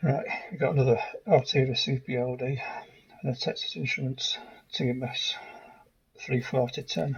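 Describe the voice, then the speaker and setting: A man pauses long and often, though his speech otherwise runs at a moderate pace. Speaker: electronics hobbyist. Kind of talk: casual narration over teardown footage. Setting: home workshop, processed audio.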